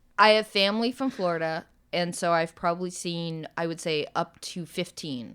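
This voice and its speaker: At a moderate pace and a fairly low pitch, a woman with an unremarkable speaking voice talks with ordinary pitch variation in a very clean recording with a silent background. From United States. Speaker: podcast co-host. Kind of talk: casual chat.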